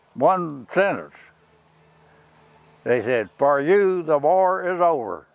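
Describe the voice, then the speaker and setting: Music plays behind a man who talks very slowly. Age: 80s+. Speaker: war veteran. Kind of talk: interview answer.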